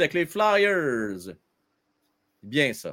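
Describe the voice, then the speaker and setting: A man with a Quebec accent speaks with very wide pitch swings. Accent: Québécois French. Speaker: hockey livestream host. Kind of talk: live sports talk with callers. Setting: live stream. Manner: animated.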